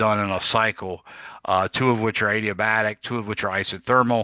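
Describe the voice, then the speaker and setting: A man talks in a fairly low, bright and sharp voice with a monotone, flat intonation. The sound is dry and close with no echo, over a quiet background. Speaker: physics teacher. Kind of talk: lecture. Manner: casual with frequent fillers.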